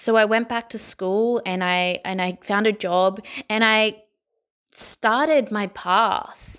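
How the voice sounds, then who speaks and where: In an Australian accent, the speech moves at a very slow pace with fairly even intonation. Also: woman, fairly high pitch for a woman. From Sydney, Australia. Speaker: guest sharing mental health story. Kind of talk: personal testimony.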